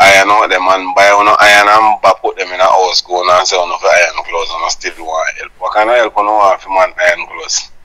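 A man speaks at a fairly quick pace with a Jamaican accent. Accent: Jamaican Patois. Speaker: vlogger playing an interview character. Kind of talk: phone interview answer. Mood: insistent, argumentative. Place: home room. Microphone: lapel.

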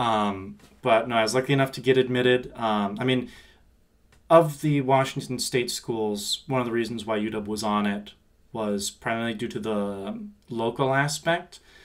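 A man with a Pacific Northwest accent, medium pitch, ordinary pitch variation and a moderate pace. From Seattle. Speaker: university student finance staff. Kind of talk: casual interview.

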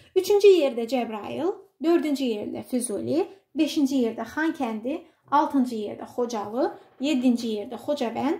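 A woman speaks at a high pitch with a dark, mellow tone. She goes at a fairly slow pace with lively intonation. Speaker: teacher. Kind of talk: tutorial.

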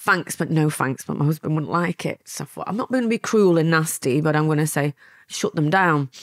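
A woman's very deep, low voice at a fairly quick pace with ordinary pitch variation, on a very clean recording with a silent background and a dry, close sound with no echo. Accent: Lancashire. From Lancashire, England (born in Milan, moved at nine). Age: 50s. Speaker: former mafia courier and author. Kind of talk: interview storytelling.

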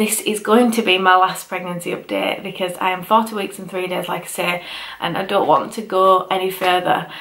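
A woman does a raspy put-on character voice at medium pitch, monotone and flat, at a moderate pace. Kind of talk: casual vlog chat. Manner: weary. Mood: tired, fed up with waiting.

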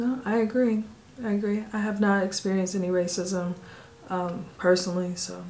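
With an American accent and a medium pitch, a woman speaks at a moderate pace in fairly even intonation over light background noise. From United States. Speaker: family travel vlogger. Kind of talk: casual Q&A chat. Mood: calm, relaxed. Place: home room.

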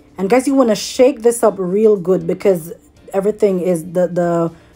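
A woman talks with ordinary pitch variation while faint music sits in the background. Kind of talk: tutorial. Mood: relaxed, cheerful. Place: kitchen. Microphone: phone near.

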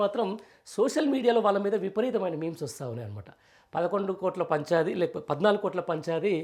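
A man's high-pitched voice with lively intonation. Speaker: political journalist. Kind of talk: news commentary. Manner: conversational, rambling delivery.

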